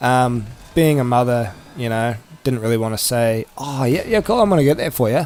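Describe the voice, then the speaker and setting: Delivered at a moderate pace with fairly even intonation, the speech carries a New Zealand accent. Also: man. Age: 20s. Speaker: gaming youtuber. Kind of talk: casual vlog chat. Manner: casual, with many fillers.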